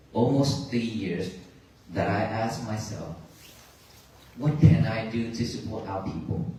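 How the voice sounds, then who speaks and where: A man with a Vietnamese accent speaks at a fairly slow pace. Audible room echo and noticeable background noise come through. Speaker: Buddhist monk. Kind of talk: dharma talk to audience. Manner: halting.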